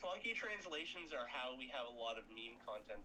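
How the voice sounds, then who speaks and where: A man speaks with a slight Canadian accent. His pace is moderate. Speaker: gaming stream co-player. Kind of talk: casual chat.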